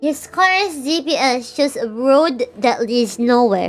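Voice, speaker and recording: Noticeable background noise sits under a voice whose pitch swings very widely. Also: woman. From Philippines. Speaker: VTuber streamer. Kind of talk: reading visual novel aloud with commentary; casual live-stream chat. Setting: live stream.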